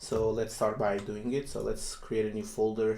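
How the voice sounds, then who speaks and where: A man is speaking. He talks with a non-native accent. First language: not English. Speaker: software developer YouTuber. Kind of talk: coding tutorial. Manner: hesitant, many fillers.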